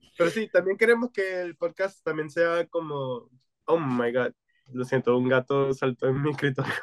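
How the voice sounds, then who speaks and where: At a moderate pace, a man's fairly high voice carries lively intonation in a dry, close sound with no echo. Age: 20s. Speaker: podcast co-host. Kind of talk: casual chat. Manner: code-switching Spanish and English.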